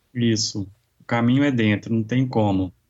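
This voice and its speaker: With an ordinary speaking voice, a man talks at a moderate pace, his pitch medium and his intonation fairly even. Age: 40s. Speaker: yoga instructor. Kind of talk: interview.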